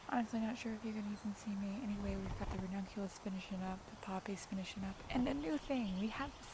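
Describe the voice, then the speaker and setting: Talking very fast with hardly any pauses, a woman at a medium pitch shows ordinary pitch variation over noticeable background noise. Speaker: cut flower gardener. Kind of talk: casual garden tour talk to camera. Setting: outdoors.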